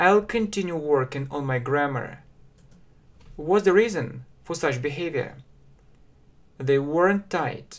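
A man at a very slow pace with long, frequent pauses. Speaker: English teacher. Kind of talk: language lesson, translation drill. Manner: slow, clear, repetitive. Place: home room. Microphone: webcam.

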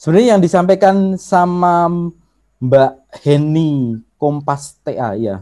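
A fairly high-pitched male voice with a dark, mellow tone, lively intonation and a very slow pace, against a quiet background. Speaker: workshop trainer on social media marketing; presenter. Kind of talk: online workshop lecture; lecture. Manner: conversational with frequent filler hesitations. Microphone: video call.

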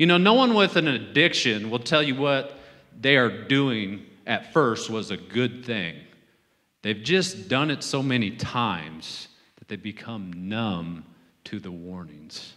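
A man speaks fairly slowly in a bright, sharp tone, with very wide pitch swings and big swings in loudness. The background is quiet. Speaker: preacher. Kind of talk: sermon. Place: church. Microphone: handheld.

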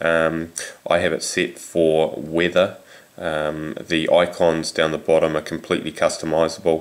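Moderately paced speech from a man with a New Zealand accent. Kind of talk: casual tech demo to camera. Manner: hesitant, many fillers.

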